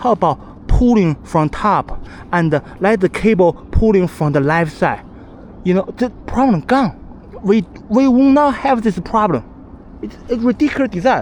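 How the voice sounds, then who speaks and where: Over noticeable background noise, a man with a non-native accent speaks at a fairly slow pace, high in pitch, with lively intonation. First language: not English. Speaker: cyclist. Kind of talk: casual talk to camera. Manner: stuttering.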